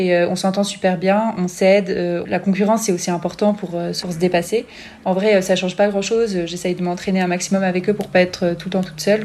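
A woman talks fairly quickly at a medium pitch, her intonation flat and monotone. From France, Grenoble. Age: 20s. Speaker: biathlete. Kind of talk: interview. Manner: hesitant with fillers.

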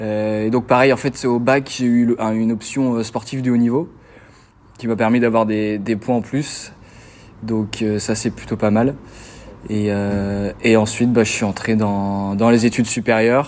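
Monotone, flat intonation marks this man's medium-pitched voice as he talks at a fairly slow pace. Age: 20s. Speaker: student athlete, tennis player. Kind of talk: interview. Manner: halting, many repetitions and fillers.

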